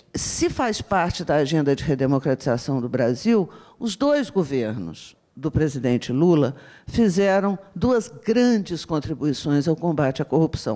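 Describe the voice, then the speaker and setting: Against a silent background in a very clean recording, a woman with a dark, mellow tone speaks at a fairly slow pace with very wide pitch swings. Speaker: university professor. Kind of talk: panel talk.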